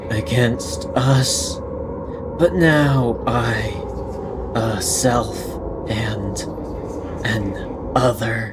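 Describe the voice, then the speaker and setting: Using a put-on character voice at a medium pitch, a man speaks at a very slow pace over clear background noise. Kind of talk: dramatic reading of in-game text. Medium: game stream. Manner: slow, fragmentary, portentous.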